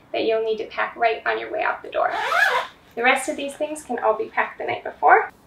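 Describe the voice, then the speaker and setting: Audible room echo and light background noise surround a woman speaking at a high pitch. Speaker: parent vlogger. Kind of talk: tutorial. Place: home room. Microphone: camera far.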